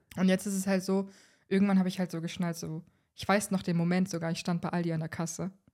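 Very fast and in a dark, mellow tone, someone speaks in a monotone, flat intonation on a very clean recording with a silent background. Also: woman, medium pitch for a woman. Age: 20s. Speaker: human design expert. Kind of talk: casual chat. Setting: sitting on the floor of a nearly empty flat.

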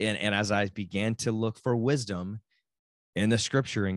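A man with a Texan accent speaks at a moderate pace and a fairly low pitch. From Texas. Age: 40s. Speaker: podcast host. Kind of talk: solo podcast monologue. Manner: casual, halting with many restarts.

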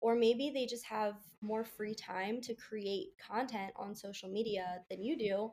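A woman with an American accent has a plain, everyday voice, fairly high in pitch with ordinary pitch variation. She speaks at a fairly slow pace. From US, Baltimore. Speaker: food blogger. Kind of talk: casual interview.

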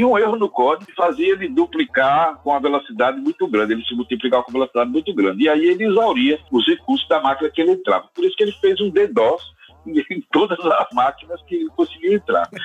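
Noticeable background noise sits behind a man who talks at a very fast pace. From Sergipe, northeastern Brazil. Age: 60s. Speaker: computer science professor. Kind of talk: casual interview.

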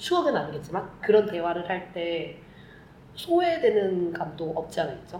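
A woman talks at a fairly slow pace in a fairly low voice with ordinary pitch variation. Room echo is audible, and there is noticeable background noise. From Korea, Vietnam and Germany. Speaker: podcast co-host. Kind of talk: casual chat.

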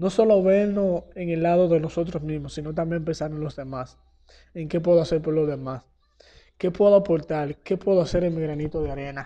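Fairly quick and fairly even in intonation, a man's high-pitched voice has a dark, mellow tone over a quiet background. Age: young. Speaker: church youth retreat member. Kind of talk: testimony.

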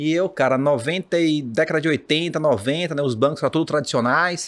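In a normal speaking voice, a man talks at a moderate pace and fairly high pitch with ordinary pitch variation, recorded very cleanly against a silent background. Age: 40s. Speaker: financial market professional. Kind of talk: casual chat.

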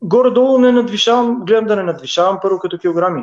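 A man talking at a fairly quick pace. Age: 40s. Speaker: professional footballer. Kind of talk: casual interview. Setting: Facebook live video.

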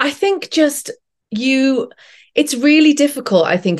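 Against a quiet background, a woman with a British accent speaks at a fairly slow pace. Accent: regional British. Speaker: actress. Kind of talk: casual chat.

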